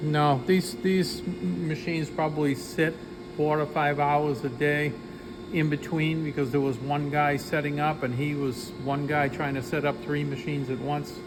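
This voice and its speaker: A man with a Boston accent talks at a fairly high pitch and moderate pace. His pitch variation is ordinary, with noticeable background noise behind him. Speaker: engineering company owner. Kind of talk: guided tour explanation.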